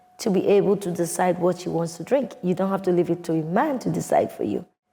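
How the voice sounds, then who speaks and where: Medium-pitched woman with a Nigerian accent. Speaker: wine entrepreneur. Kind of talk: interview answer.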